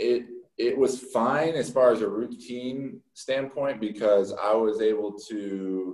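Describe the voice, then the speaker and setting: The intonation holds fairly level. It comes through in an unremarkable speaking voice. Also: man. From Texas. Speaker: professional baseball pitcher. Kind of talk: interview. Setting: remote call.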